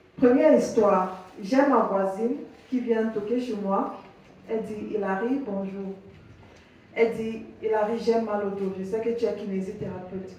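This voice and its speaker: The voice moves at a fairly slow pace with fairly even intonation. Audible room echo and noticeable background noise are present. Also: woman. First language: English (speaking French). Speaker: physiotherapist. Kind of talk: workshop presentation. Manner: halting.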